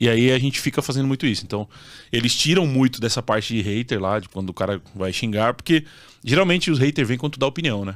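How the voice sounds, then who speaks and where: Over a quiet background, a man talks at a very fast pace and medium pitch, his intonation lively. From southern Brazil (Santa Catarina). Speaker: real estate fund investment influencer. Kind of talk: casual interview. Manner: direct. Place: studio. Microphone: studio mic.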